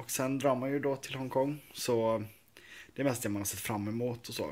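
This man talks at a moderate pace. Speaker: vlogger. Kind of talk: casual vlog chat. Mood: cheerful, proud. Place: home room. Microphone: phone near.

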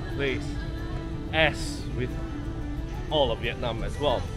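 A man speaks at a fairly slow pace with clear music in the background. The sound is dry, with no echo. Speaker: travel vlogger. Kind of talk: casual vlog chat. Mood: relaxed, mildly excited. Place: street. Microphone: phone near.

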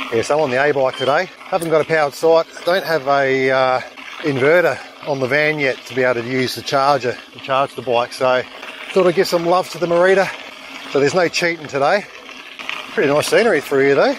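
Here a man speaks at a fairly quick pace with ordinary pitch variation. The sound is dry with no echo, though background noise is noticeable. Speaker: mountain bike vlogger. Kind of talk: casual vlog chat. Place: bicycle. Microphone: helmet.

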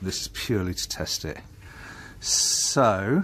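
Noticeable background noise is present. A man does the talking. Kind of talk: tutorial. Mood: relaxed, lightly jokey. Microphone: phone near.

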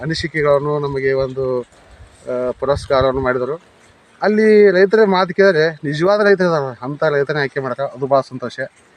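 A man talks with ordinary pitch variation. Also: dry, close sound with no echo. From India, Vijayapura district, north Karnataka. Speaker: farmer. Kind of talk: testimony to camera.

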